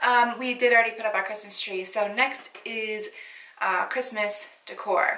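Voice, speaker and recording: A woman speaks at a fairly high pitch and a fairly slow pace. Her intonation is monotone and flat, with noticeable background noise. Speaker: beauty YouTuber. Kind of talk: casual chat to camera. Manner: mumbling at times. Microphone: echoey room mic.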